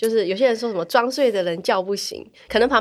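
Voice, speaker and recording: Ordinary pitch variation runs through very fast speech in a very clean recording with a silent background. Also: woman. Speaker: podcast host. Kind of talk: casual interview chat. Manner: laughs often.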